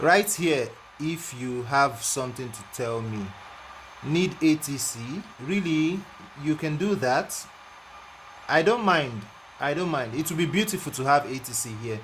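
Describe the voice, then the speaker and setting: A man with a non-native accent speaks at a fairly slow pace in a fairly high voice, with lively intonation and long, frequent pauses. Noticeable background noise sits behind him. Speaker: flight sim live streamer. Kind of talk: live stream chat. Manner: repetitive.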